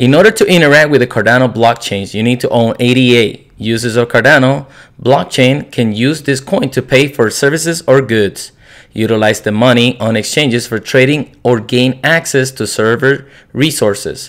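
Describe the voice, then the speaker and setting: This speaker has a non-native accent and a moderate pace. Pitch variation is ordinary. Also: man, medium pitch for a man. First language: not English. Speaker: crypto YouTuber. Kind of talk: explainer video. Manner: halting.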